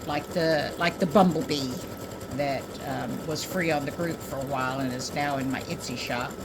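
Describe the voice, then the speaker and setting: A woman speaks at a moderate pace with a very deep, low pitch, audible room echo and noticeable background noise. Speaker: craft tutorial maker. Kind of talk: tutorial. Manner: casual, hesitant with fillers. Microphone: mic far from speaker, voice not picked up well.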